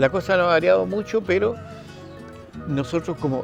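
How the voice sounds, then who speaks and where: Over music in the background, a man with a Chilean accent talks at a moderate pace with lively intonation. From northern Chile. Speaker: radio announcer and TV host. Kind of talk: interview answer.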